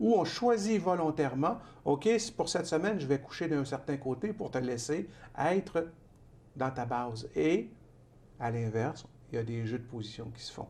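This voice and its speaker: Speaking at a moderate pace with a calm tone, a man with a fairly high pitch and a somewhat breathy voice takes long, frequent pauses, his pitch swinging very widely and his loudness shifting in big swings. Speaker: author and trainer. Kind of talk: TV interview. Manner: calm, measured pace.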